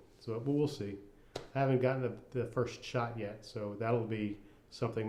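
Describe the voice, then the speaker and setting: Mumbling at a fairly quick pace, a man speaks in a medium pitch with fairly even intonation. Audible room echo surrounds his voice. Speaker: cancer patient vlogger. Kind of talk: personal video diary. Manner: casual.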